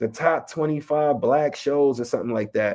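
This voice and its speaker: Talking at a fairly quick pace, a man with a slight New York accent has a fairly high pitch. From Chicago West Side. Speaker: rapper and educator. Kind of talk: interview. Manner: casual.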